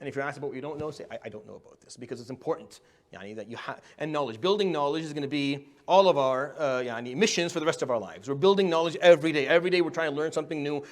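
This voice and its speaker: In an Arabic accent, a man speaks at a very fast pace and a fairly high pitch, his intonation lively. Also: quiet background. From Middle East. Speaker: imam and public speaking teacher. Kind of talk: workshop lecture. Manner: stuttering.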